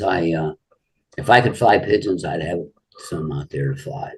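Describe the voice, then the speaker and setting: A man with an American accent and vocal fry, very wide pitch swings and a moderate pace. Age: 70s. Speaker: pigeon fancier. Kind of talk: casual interview.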